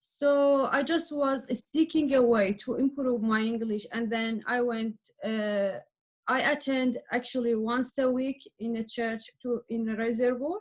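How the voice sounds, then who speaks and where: The delivery moves at a fairly slow pace. Its intonation stays fairly even. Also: woman, high pitch for a woman. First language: Arabic and Persian. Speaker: adult language learner. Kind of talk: interview. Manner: halting.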